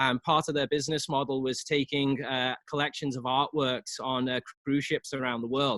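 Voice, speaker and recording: Speaking with a Liverpool accent, a man uses a fairly high pitch and monotone, flat intonation at a moderate pace with hardly any pauses. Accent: English (Liverpool), noticeable. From England, Liverpool. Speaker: real estate agent. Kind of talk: casual interview.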